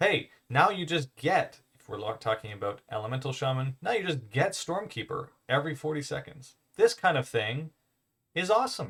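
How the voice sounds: Big pitch swings and a fairly bright tone come through at a moderate pace. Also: man.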